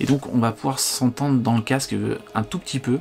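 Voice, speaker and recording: Music plays behind a man speaking at a fairly quick pace. His intonation stays fairly even. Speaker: tech reviewer. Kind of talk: product review. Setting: home living room. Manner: casual, hesitant; loud.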